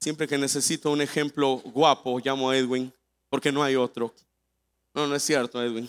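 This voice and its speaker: A man's animated voice at medium pitch and a moderate pace, dry and close with no echo, on a very clean recording with a silent background. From Mexico, Veracruz. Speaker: guest preacher. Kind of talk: sermon. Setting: church with congregation.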